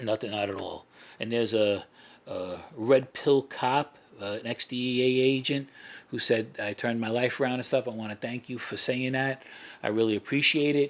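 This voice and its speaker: In a New York accent, a man speaks at a medium pitch and a moderate pace. His intonation is fairly even. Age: 60s. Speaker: former mafia associate. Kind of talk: casual chat. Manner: halting, many fillers and restarts.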